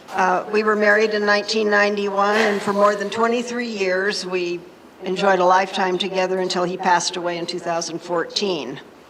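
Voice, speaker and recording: Amid noticeable background noise and audible room echo, a woman with an American accent speaks at a fairly quick pace, her medium-pitched voice held to a fairly even intonation. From Nevada, Henderson. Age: 70s. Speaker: retired fire department secretary. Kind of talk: public talk.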